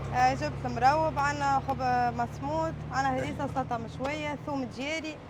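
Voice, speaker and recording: Amid noticeable background noise and audible room echo, the speaking proceeds at a moderate pace. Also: woman. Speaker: street food vendor. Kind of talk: interview.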